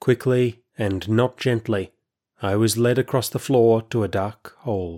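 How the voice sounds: This is a natural reading voice, heard against a quiet background.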